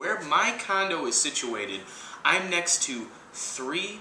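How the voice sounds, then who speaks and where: With an American accent, a man speaks at a high pitch, his voice making very wide pitch swings. Noticeable background noise runs under the recording. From US Midwest, Chicago. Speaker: video blogger. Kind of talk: casual vlog monologue. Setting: outdoors. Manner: loud; animated.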